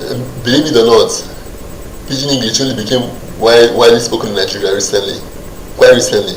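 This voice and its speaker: A man's very fast speech broken by long, frequent pauses, over noticeable background noise. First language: Nigerian Pidgin. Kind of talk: talk-style explainer. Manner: hesitant, halting.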